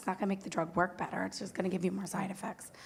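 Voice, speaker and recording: American accent, somewhat breathy, from a woman. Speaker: nurse practitioner. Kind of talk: panel discussion.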